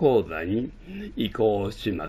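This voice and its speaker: This is a man speaking at medium pitch. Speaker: university professor / lecturer. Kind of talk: lecture-style announcement. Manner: formal, addressing students.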